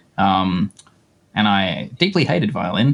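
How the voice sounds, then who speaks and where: A man speaks with an Australian accent. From northern tropical rural Australia. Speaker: effects pedal designer. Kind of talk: casual chat. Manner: hesitant, many fillers.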